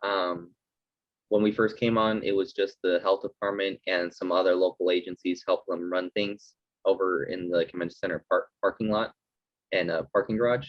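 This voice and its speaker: A man with an American accent speaks at a moderate pace, his pitch fairly low. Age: 20s. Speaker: National Guard soldier and student. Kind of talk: interview testimony. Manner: hesitant, many fillers.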